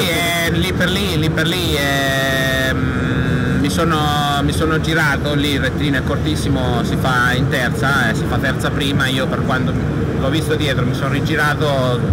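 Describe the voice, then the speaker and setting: A man at a moderate pace with ordinary pitch variation over loud background noise. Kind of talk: interview answer. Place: hall. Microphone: phone near.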